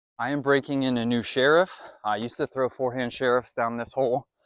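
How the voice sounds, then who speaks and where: A man speaks at a fairly quick pace with a medium pitch and a normal speaking voice, on a very clean recording with a silent background. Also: dry, close sound with no echo. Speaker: disc golf youtuber. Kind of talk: vlog commentary. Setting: outdoors.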